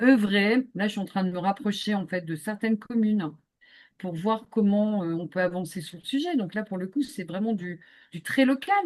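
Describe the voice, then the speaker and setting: It's a woman with a medium pitch. She talks at a moderate pace with ordinary pitch variation. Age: 50s. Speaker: business consultant and activist. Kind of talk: podcast interview. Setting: video call. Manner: hesitant, many fillers.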